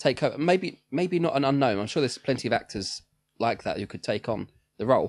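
A man with an ordinary speaking voice talks at a fairly quick pace and fairly high pitch. His intonation is lively, and the background is quiet. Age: 30s. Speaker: podcast co-host. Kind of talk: casual chat.

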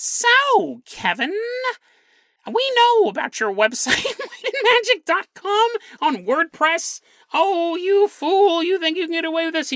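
Using a put-on character voice, a woman speaks at a fairly slow pace in an extremely high pitch. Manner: menacing, taunting.

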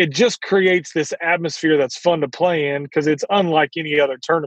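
A man's unremarkable speaking voice sits at a fairly high pitch, moving at a moderate pace with fairly even intonation. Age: 40s. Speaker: professional golfer. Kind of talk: interview.

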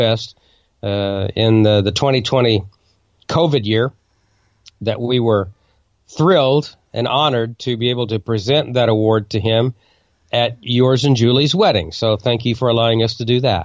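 A man speaks at a moderate pace. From Oklahoma. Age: 60s. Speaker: ham radio news broadcaster. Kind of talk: casual interview chat. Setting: video call. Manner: hesitant, many fillers and repeats.

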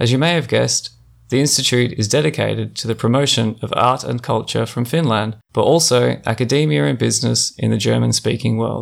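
Fairly quick Australian-accented speech from a man, recorded very cleanly against total silence. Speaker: podcast host and gallery director. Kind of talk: scripted introduction; interview conversation.

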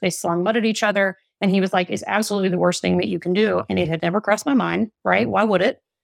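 Very fast, fry-edged speech with ordinary pitch movement, dry and close with no echo. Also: woman. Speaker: parenting and relationship coach. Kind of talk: podcast interview.

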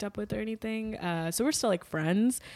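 Featuring an unremarkable speaking voice, a woman with an American accent talks at a fairly quick pace and medium pitch with lively intonation, in a very clean recording with a silent background. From Washington DC. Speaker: comedian. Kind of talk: casual chat.

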